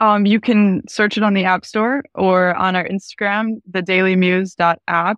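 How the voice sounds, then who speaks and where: Against a quiet background, a woman with a normal speaking voice talks fairly slowly at medium pitch, with fairly even intonation, very even loudness and a dry, close sound with no echo. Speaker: app developer. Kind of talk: interview.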